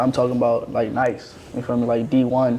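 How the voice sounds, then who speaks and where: With noticeable background noise around him, a man of medium pitch speaks at a fairly slow pace in a monotone, flat intonation. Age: 20s. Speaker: podcast co-host. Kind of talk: casual chat.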